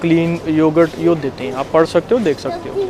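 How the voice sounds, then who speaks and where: A man talks in a high voice while noticeable background noise fills the recording. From India. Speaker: vlogger. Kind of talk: casual talk to camera.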